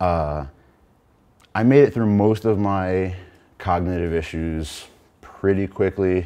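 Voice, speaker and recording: A man speaks very slowly in a very deep, low voice with a dark, mellow tone and ordinary pitch variation, pausing long and often. His voice is shaky, and the background is quiet. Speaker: brain surgery patient, panel member. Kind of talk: panel talk, personal testimony. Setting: in front of an audience with microphone and lights. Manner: shaky voice; hesitant, many filler words.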